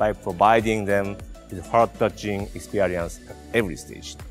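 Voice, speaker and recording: Faint music sits in the background while a man talks at a moderate pace. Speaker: presenter. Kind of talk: product launch presentation. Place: studio. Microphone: lapel.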